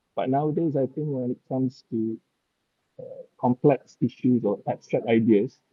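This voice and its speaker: In a Malaysian accent, the speaker keeps a moderate pace and ordinary pitch variation, leaving long, frequent pauses. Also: man, medium pitch for a man. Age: 50s. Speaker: novelist. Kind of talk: interview.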